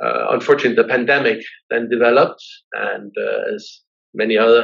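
The speaker has a Danish accent. The pace is moderate. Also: man. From Denmark, raised abroad in diplomatic postings. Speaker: business executive and university trustee chair. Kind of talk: interview. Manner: hesitant with fillers and repetitions.

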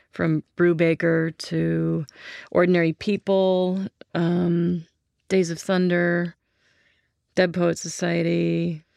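In a dark, mellow tone and fairly low pitch, a woman with an American accent speaks very slowly and in a monotone with flat intonation, leaving long, frequent pauses, on a very clean recording with a silent background. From California, Santa Barbara. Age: 40s. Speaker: production sound mixer. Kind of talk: casual interview. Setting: studio.

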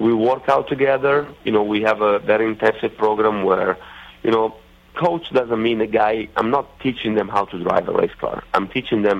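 This man's voice sits at a medium pitch with ordinary variation. His speed is moderate. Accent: Italian. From Italy. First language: Italian. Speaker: racing driver and driver coach. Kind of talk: casual interview. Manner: halting with many fillers.

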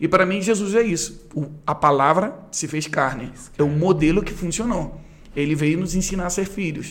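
Here a man speaks with a high pitch and ordinary pitch variation. His pace is moderate, and audible room echo surrounds him. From Brazil, Rio de Janeiro. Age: 30s. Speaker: pastor and worship leader. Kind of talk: casual interview.

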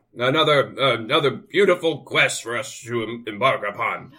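A man uses a put-on character voice, raised and projected, raspy and medium in pitch. He talks at a moderate pace with lively intonation. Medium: actual play. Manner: grandiose, sardonic.

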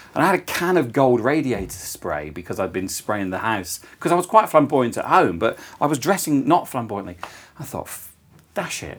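This man has a medium pitch and vocal fry, speaking at a moderate pace. His pitch swings very widely, and his loudness shifts in big swings. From English Midlands. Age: 40s. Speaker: author and public speaker. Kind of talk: casual chat. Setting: cafe.

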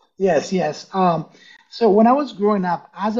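Man in a Spanish accent at a fairly slow pace, with ordinary pitch variation. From Ecuador (Quito), moved to US at 12. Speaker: entrepreneur and business coach. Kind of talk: interview.

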